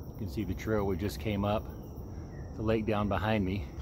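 A man at a moderate pace, fairly low in pitch with ordinary pitch variation, against noticeable background noise. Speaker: outdoor vlogger. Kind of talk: casual vlog chat. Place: waterside. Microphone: phone near.

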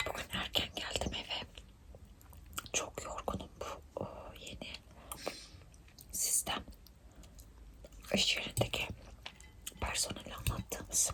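Whispering very slowly, a woman leaves long, frequent pauses over noticeable background noise. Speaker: ASMR mukbang creator. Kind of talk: casual talk to camera while eating.

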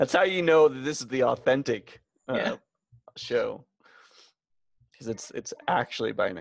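The sound is dry with no echo, and the background is quiet. A man speaks at a moderate pace, leaving long, frequent pauses. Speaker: podcast co-host. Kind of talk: casual chat. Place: home room.

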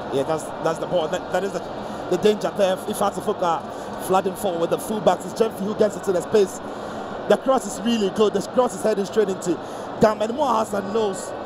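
Background noise comes through noticeably. The talking moves fairly quickly. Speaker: football pundit. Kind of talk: live football co-commentary, breaking down replays and chances as they unfold. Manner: conversational and analytical, quick with replays, occasional stumbles and repeated words.

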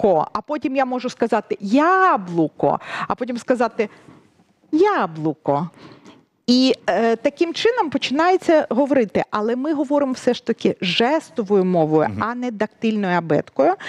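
Over a quiet background, a woman talks at a moderate pace in a high voice with very wide pitch swings. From Ukraine. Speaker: sign language interpreter; guest. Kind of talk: interview. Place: studio. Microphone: headset.

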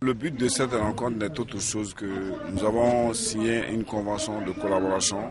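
Amid loud background noise, a man speaks at a moderate pace, the sound dry with no echo. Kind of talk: interview answer. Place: street. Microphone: handheld.

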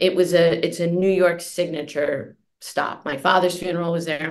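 A woman talks at a moderate pace in a fairly low pitch. It is a normal speaking voice. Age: 50s. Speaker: journalist and author. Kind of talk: interview.

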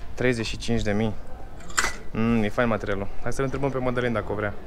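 Clear background noise runs behind a man with a fairly low voice. His intonation is fairly even.

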